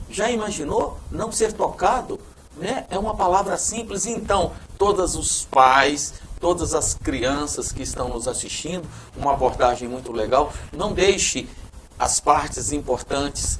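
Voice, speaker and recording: Pitch swinging very widely from a high starting point, a man talks at a fairly slow pace while noticeable background noise carries on behind him. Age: 60s. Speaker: TV show host. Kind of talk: TV interview.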